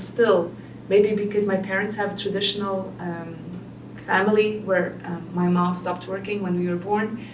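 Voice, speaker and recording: A woman speaks fairly quickly at a medium pitch with fairly even intonation. There is audible room echo and noticeable background noise. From Belgium. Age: 30s. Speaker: single mother and business owner. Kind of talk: interview. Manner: hesitant.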